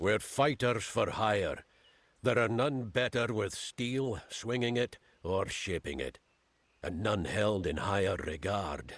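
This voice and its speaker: Putting on a gruff character voice, a man speaks fairly slowly at a fairly low pitch with lively intonation. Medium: video game. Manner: gruff, commanding.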